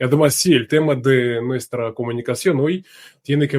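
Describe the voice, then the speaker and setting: A man with a Russian accent speaks at a moderate pace in fairly even intonation, the sound dry and close with no echo. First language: Russian (speaking Spanish). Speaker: journalist. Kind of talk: interview.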